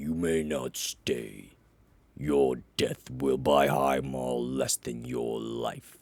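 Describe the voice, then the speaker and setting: In a put-on character voice, a man booms at a very slow pace with a very deep, low pitch. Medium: read story. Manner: measured, authoritative.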